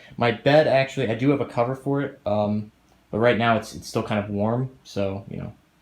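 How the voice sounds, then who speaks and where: A man at a fairly quick pace, his intonation fairly even. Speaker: gaming streamer. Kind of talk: casual vlog tour. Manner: fast.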